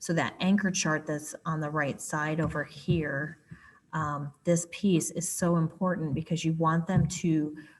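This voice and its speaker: A woman speaks with a fairly low, somewhat breathy voice and fairly even intonation. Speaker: writing curriculum specialist. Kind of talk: tutorial.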